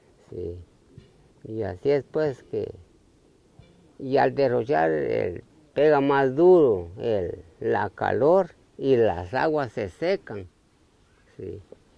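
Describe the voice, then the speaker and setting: Speaking at a very slow pace, a man with a dark, mellow tone makes very wide pitch swings and leaves long, frequent pauses. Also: dry sound with no echo. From Honduras. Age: old. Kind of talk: interview answer. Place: open country.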